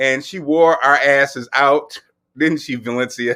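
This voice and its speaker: A man speaks loudly at a moderate pace in an animated tone with a bright, sharp sound and ordinary pitch variation. The recording is very clean with a silent background. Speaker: livestream fitness host. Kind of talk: casual livestream chat.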